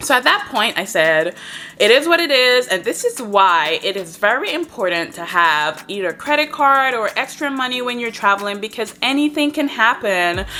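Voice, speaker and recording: A woman with an Antiguan accent speaks at a moderate pace with hardly any pauses, her fairly high pitch making very wide swings in a bright, sharp, animated tone. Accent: Antiguan Caribbean English. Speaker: travel vlogger. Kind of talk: story time vlog.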